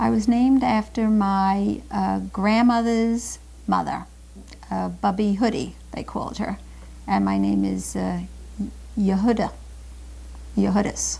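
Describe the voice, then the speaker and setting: With audible room echo, a woman speaks at a fairly slow pace and pauses long and often. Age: 50s. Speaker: interviewee sharing family history. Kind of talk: oral history interview. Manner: hesitant with frequent fillers.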